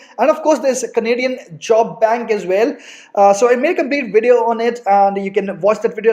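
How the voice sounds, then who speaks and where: Here a man with an Indian accent and high pitch speaks at a fairly quick pace. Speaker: immigration YouTuber. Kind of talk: advice vlog. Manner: fast.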